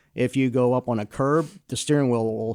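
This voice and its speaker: A man with an American accent speaks at a moderate pace in a medium pitch and a dark, mellow tone. His intonation is fairly even, on a very clean recording with a silent background. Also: dry, close sound with no echo. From New Jersey. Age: 60s. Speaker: driving instructor. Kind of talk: interview. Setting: studio.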